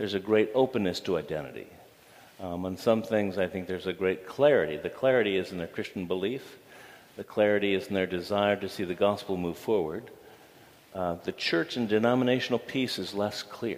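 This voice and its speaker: With an American accent, a man speaks fairly quickly in an unremarkable speaking voice. His pitch is fairly low, with ordinary pitch variation. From Toledo area, US Midwest. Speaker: seminary dean. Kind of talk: interview before a live audience.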